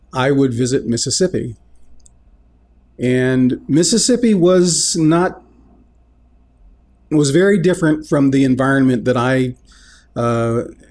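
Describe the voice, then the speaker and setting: With an American accent, someone talks at a fairly slow pace. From US South (Columbus, Georgia). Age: 60s. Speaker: video blogger. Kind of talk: personal monologue. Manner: halting, with fillers.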